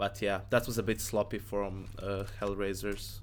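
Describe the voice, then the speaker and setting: The intonation stays fairly even. Vocal fry runs through the voice. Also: man. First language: not English. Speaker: esports analyst streamer. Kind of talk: live stream match analysis with Q&A. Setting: live stream. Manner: casual, halting with self-corrections.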